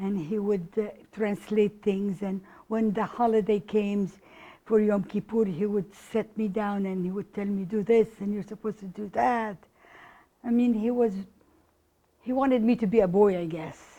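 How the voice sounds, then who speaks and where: With an Arabic accent, a woman speaks at a medium pitch and a moderate pace in a dark, mellow tone with fairly even intonation. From Egypt, Cairo. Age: 60s. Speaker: oral history interviewee. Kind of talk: interview. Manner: halting.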